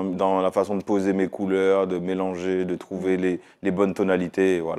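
Against a quiet background, a man speaks at a fairly slow pace, with fairly low pitch and a dark, mellow tone. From Martinique. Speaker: music video director. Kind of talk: interview. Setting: studio. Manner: hesitant. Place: studio. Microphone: lapel.

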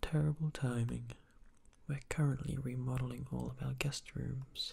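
Fairly slow in pace, this voice is soft-spoken. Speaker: game narrator reading dialogue. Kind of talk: soft ASMR reading of game text. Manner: soft-spoken, apologetic innkeeper reading.

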